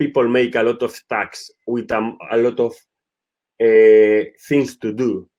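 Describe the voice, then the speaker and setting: With a Spanish accent, a man talks at a medium pitch. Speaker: football director. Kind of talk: webinar presentation. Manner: halting.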